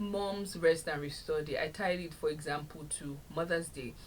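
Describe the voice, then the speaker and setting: Audible room echo surrounds this woman as she speaks. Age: 30s. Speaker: podcast host. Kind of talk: solo podcast talk.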